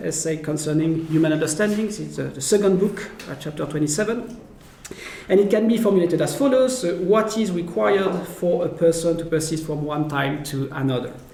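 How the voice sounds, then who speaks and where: A man with a French accent speaks at a moderate pace in a high voice with ordinary pitch variation. Noticeable background noise and audible room echo are present. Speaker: philosopher. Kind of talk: lecture. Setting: academic seminar. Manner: halting, many fillers.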